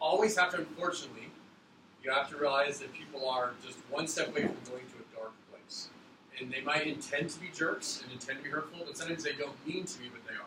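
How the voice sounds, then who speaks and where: Talking at a very fast pace, a man with a fairly high voice shows ordinary pitch variation and big swings in loudness, amid audible room echo and noticeable background noise. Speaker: teacher. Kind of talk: classroom instruction. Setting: classroom. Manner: mumbling.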